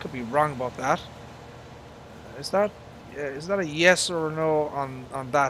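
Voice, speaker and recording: There is noticeable background noise as a man with an Irish accent speaks with ordinary pitch variation. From Ireland. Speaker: gaming live streamer. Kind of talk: live gameplay commentary. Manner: halting, many fillers.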